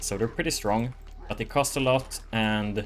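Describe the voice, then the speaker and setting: Over music in the background, a man with a fairly low pitch talks at a moderate pace with ordinary pitch variation. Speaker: gaming YouTuber. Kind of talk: live gameplay commentary. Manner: casual with fillers.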